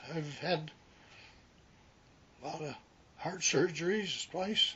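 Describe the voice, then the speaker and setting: With an Upper Midwest accent, a man talks at a high pitch and very slow pace with fairly even intonation over noticeable background noise. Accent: Upper Midwest American. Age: 80s+. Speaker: retired rural mail carrier. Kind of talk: oral history interview. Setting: at his home. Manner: halting.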